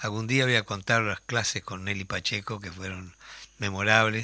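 A man's monotone, flat, fairly low voice, bright and sharp in tone, at a moderate pace. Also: very clean recording, silent background. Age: 60s. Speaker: radio host and musician. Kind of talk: casual chat.

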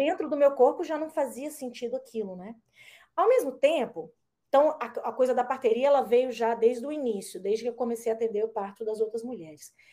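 A woman's high voice, dark and mellow in tone, with lively intonation and big swings in loudness. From Brazil, Brasília. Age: 40s. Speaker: traditional midwife. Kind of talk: casual chat.

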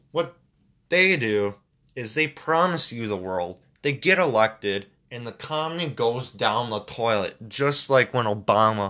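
A man with an American accent sounds angry, his medium-pitched voice bright and sharp with lively intonation. He talks at a fairly slow pace in a very clean recording with a silent background. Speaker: video commentator. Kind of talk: angry political rant. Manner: angry, ranting, vehement, railing against media and protesters; repetitive, stumbling, halting.

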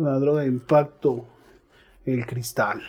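This man's fairly high pitch carries a dark, mellow tone. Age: 30s. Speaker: recovering addict. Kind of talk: testimony. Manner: casual, slangy.

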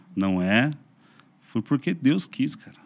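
At a moderate pace, a man with an unremarkable speaking voice and a medium pitch talks with lively intonation. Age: 40s. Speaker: pastor and YouTuber. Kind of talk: casual interview chat.

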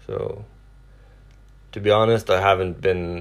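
Talking at a fairly slow pace, a man speaks with a Norwegian accent. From Norway. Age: 40s. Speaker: truck driver and YouTuber. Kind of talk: casual solo podcast, self-introduction. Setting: home, sitting on the couch. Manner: hesitant, many filler words.

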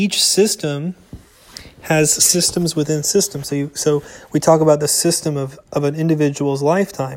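Big swings in loudness mark this man's ordinary speaking voice, which sits at a fairly high pitch with fairly even intonation. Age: 30s. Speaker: Torah teacher. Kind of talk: lecture.

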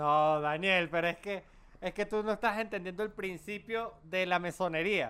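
On a very clean recording with a silent background, a man projects a raised voice that is high in pitch and bright and sharp in tone, moving at a fairly slow pace with ordinary pitch variation. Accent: Venezuelan. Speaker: podcast co-host. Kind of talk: casual chat.

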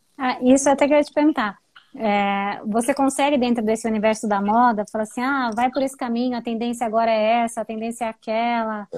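On a very clean recording with a silent background, a woman with an unremarkable speaking voice talks at a fairly quick pace, fairly high in pitch with fairly even intonation. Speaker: live stream host. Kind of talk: interview. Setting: live stream.

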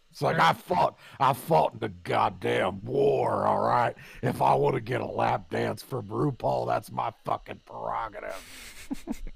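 Doing a raspy character voice, a man speaks very deep and low at a fairly slow pace, with very wide pitch swings and hardly any pauses. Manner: indignant, crusty.

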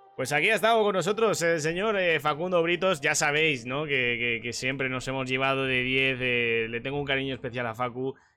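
A man speaks in a Spanish accent at a medium pitch. His pace is moderate. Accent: Peninsular Spanish. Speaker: streamer and sim racing commentator. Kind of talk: casual chat.

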